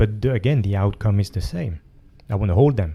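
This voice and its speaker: Speaking with a French accent, a man uses a fairly low, somewhat breathy voice with a dark, mellow tone. He talks at a fairly quick pace with ordinary pitch variation. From France. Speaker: jiu-jitsu coach and author. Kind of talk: interview conversation. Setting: gym. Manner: halting.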